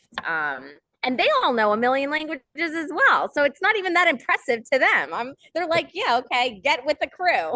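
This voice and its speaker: A woman in a New Jersey accent talks at a moderate pace with a high pitch and a raised, projected voice. The sound is dry and close, with no echo. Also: lively intonation. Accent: American, New Jersey. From New Jersey, US. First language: Portuguese. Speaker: soccer club video host and producer. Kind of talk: interview.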